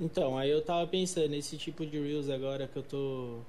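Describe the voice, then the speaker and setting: Audible room echo and noticeable background noise around a man's moderate pace. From Brazil, São Paulo. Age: 20s. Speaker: English teacher and youtuber. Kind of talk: casual chat. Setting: remote call.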